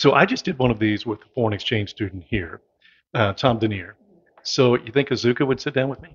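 Somewhat breathy, a man with an American accent speaks at a medium pitch. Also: ordinary pitch variation, fairly quick pace. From US Midwest. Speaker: local community show host. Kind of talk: casual interview. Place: meeting room. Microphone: handheld.

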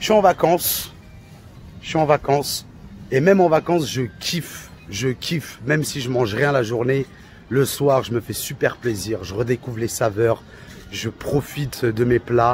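A man speaks at a fairly slow pace with lively intonation. The sound is dry with no echo, with light background noise. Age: 30s. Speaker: coaching client; coaching client giving testimonial. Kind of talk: testimony. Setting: on vacation. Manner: animated; halting. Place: street. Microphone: phone near.

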